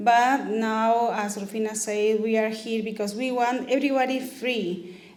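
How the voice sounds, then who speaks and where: A woman speaks in a Spanish accent, her pitch fairly high. Her pace is moderate, her intonation fairly even, and audible room echo surrounds her. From Peru. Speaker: immigrant rights activist. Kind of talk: talk to meeting. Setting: community meeting.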